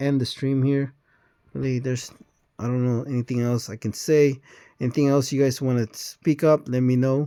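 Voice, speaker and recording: Medium-pitched man with a dark, mellow tone at a fairly quick pace, very clean recording with a silent background. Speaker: mobile game streamer. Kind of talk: casual gameplay commentary. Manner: halting, many fillers; mumbling when playing manually.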